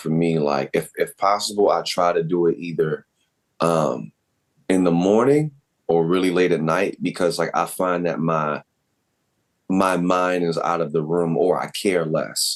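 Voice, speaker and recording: Very deep and low in pitch, a man speaks at a fairly slow pace. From Baltimore. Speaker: voice actor and content creator. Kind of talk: interview. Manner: casual.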